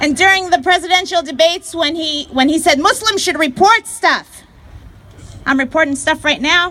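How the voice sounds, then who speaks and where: Over noticeable background noise, a woman uses a raised, projected voice at an extremely high pitch, keeping a moderate pace and ordinary pitch variation. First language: not English. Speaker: activist speaker. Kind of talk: rally speech. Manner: animated.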